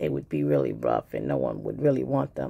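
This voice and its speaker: A woman with a New York accent. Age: old. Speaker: YouTuber, crafter. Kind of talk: casual video talk. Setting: home video with ring light. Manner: casual, hesitant with fillers.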